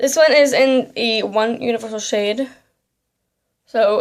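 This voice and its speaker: With an American accent, a woman speaks in an unremarkable speaking voice at a fairly high pitch. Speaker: beauty vlogger. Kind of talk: makeup tutorial. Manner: casual, filler-heavy.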